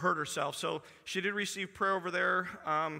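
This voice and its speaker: Against a quiet background, a man speaks at a moderate pace in a bright, sharp tone with fairly even intonation. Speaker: pastor. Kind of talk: church announcements and prayer. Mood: warm, then prayerful. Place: church.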